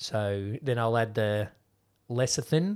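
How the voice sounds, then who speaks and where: A man with an Australian accent speaks at a very slow pace on a very clean recording with a silent background. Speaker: podcast host. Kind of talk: casual chat.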